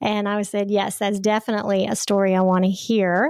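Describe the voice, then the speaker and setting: Recorded very cleanly against a silent background, a woman of medium pitch talks at a moderate pace with a Southern US accent. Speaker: podcast host. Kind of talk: interview.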